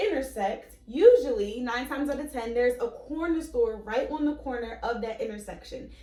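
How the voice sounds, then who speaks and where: Audible room echo surrounds a woman with an American accent whose high-pitched voice has a dark, mellow tone. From Philadelphia and Florida. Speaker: travel vlog host. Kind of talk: travel vlog presenting.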